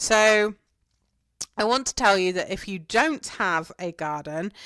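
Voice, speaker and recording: The speaker has an English accent and a fairly slow pace. The recording is very clean, with a silent background. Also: woman. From England. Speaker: gardening podcaster. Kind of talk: podcast monologue, answering questions. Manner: casual, chatty with fillers.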